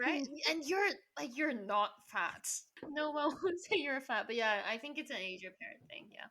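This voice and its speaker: Raising and projecting her voice, a woman speaks at a moderate pace in a high pitch with a bright, sharp tone, very wide pitch swings and big swings in loudness. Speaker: reality TV contestant. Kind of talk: casual interview chat. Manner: animated.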